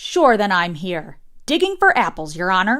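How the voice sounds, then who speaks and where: Putting on a character voice, a woman speaks at a moderate pace and medium pitch with very wide pitch swings. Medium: read story. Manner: deferential, saying "your honor".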